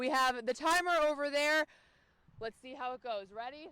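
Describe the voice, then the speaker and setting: A woman with an American accent, her bright, sharp tone raised and projected, at a fairly slow pace with ordinary pitch variation. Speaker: local news reporter and anchor. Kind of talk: casual on-camera banter.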